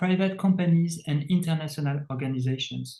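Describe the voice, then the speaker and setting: The voice has a dark, mellow tone and a French accent. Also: man. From France. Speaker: tech company CEO. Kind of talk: interview. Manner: halting, many fillers.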